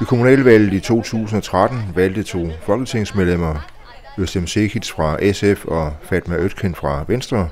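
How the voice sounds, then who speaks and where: The speech moves at a fairly slow pace with ordinary pitch variation, and noticeable background noise runs behind it. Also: man. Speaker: reporter. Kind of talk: scripted narration.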